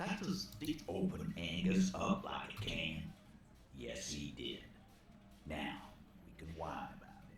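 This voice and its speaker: Doing a gruff, put-on character voice at a medium pitch, a man speaks at a fairly slow pace with long, frequent pauses and very wide pitch swings, with clear background noise and a slight echo. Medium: video game. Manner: gruff, profane.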